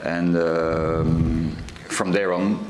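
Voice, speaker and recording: Noticeable background noise and audible room echo surround this recording. A man speaks with a very deep, low pitch and ordinary pitch variation. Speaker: association director, terror victim's relative. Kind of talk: panel testimony. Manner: halting, many fillers.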